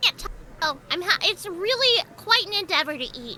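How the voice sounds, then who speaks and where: Extremely high pitch in a put-on character voice, at a moderate pace. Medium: virtual streamer. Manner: casual, offhand.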